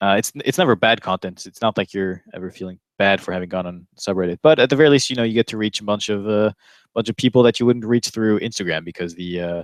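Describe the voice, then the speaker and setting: Talking at a very fast pace with an American accent, a man with a fairly low pitch and ordinary pitch variation swings widely in loudness, his sound dry and close with no echo. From France, partly US (American mother). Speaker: cardistry livestream host. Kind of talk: casual chat. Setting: online video livestream. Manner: hesitant, many fillers.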